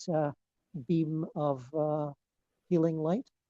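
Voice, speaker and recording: Dark and mellow in tone, a voice with a Scottish accent moves at a very slow pace with fairly even intonation in a dry, close sound with no echo. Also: man. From Scotland. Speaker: meditation teacher. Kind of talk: group discussion. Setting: video call. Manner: halting.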